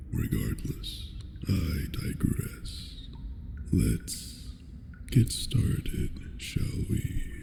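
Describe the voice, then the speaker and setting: A man puts on a raspy character voice and talks at a very slow pace over loud background noise. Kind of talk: ASMR roleplay. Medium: solo performance. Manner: slow, soft, controlling, formal.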